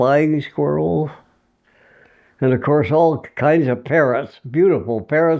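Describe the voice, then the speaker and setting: At a very slow pace, a man speaks with ordinary pitch variation and very even loudness. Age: 80s+. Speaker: war veteran. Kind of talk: interview answer.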